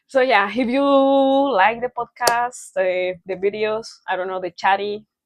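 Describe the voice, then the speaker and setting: Using a fairly high pitch with ordinary variation, a woman speaks fairly slowly with a Spanish accent. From Mexico. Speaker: podcast co-host. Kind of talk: casual chat.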